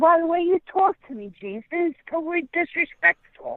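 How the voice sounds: A woman's extremely high pitch at a fairly quick pace, lively in intonation, with a dry, close sound and no echo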